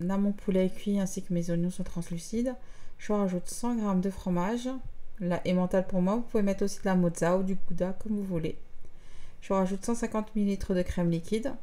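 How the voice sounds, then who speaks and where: Her tone dark and mellow, a woman speaks at a moderate pace with fairly even intonation and very even loudness. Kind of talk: tutorial. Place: kitchen.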